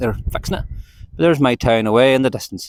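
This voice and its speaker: A man speaks with a Northern Irish accent. His voice has a medium pitch. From Northern Ireland, County Antrim. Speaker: book vlogger. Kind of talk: casual vlog chat while walking. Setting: outdoors. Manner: casual, rambling.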